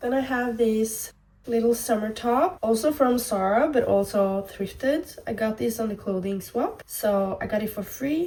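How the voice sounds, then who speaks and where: With a Norwegian accent, a woman speaks at a fairly slow pace in a fairly high pitch, using ordinary pitch variation and hardly any pauses over noticeable background noise. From Norway. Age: 20s. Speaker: fashion vlogger. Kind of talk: casual vlog try-on.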